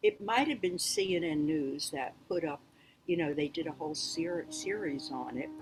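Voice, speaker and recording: With an American accent, a woman speaks at a moderate pace, her pitch swinging very widely over music in the background. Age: 80s+. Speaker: author and world traveler. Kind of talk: interview answer.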